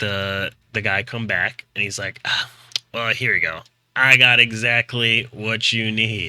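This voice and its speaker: Using a put-on character voice, a man speaks at medium pitch in a raspy tone and a fairly slow pace. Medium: actual play.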